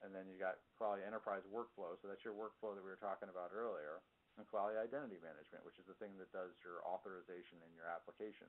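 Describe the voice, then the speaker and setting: A man talks at a very fast pace with an American accent. His pitch is fairly low and his intonation fairly even. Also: big swings in loudness. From New York. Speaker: software consultant. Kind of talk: presentation.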